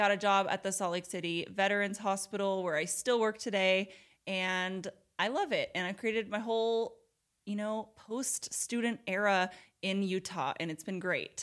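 In a plain, everyday voice with an American accent, a woman talks at a moderate pace and with fairly even intonation on a very clean recording with a silent background. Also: medium pitch for a woman. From Portland, Oregon, US. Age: 20s. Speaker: podcast host, nurse. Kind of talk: casual chat.

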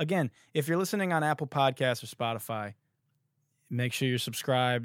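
A man with an American accent and an unremarkable speaking voice talks at a moderate pace in a medium pitch, captured in a very clean recording with a silent background and a dry, close sound with no echo. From Detroit. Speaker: podcast host and songwriter. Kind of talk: podcast outro; casual chat.

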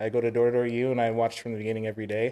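This man talks at a very fast pace in a dark, mellow tone at a medium pitch. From Hawaii. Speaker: door-to-door sales rep. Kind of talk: casual interview. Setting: studio.

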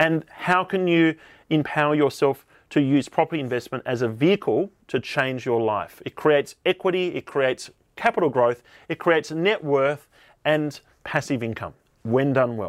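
A man with an Australian accent and fairly high pitch, in a very clean recording with a silent background and a dry, close sound with no echo. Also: ordinary pitch variation, moderate pace. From Tasmania, Australia. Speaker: podcast host, property investment advisor. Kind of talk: solo podcast monologue.

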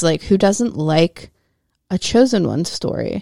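A woman's normal speaking voice, fairly low in pitch, at a moderate pace, with a dry, close sound and no echo on a very clean recording with a silent background. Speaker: podcast host. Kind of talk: bedtime story narration. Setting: home studio. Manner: playful storytelling, lilting.

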